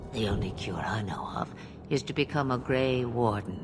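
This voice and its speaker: A man puts on a character voice at a medium pitch with an amused tone and a moderate pace. Loud background noise fills the clip. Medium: video game. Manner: cryptic, amused, archaic phrasing.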